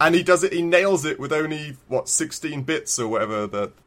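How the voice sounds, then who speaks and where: This man's fairly high-pitched voice carries vocal fry. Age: 30s. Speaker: video game podcast co-host. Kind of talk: casual chat.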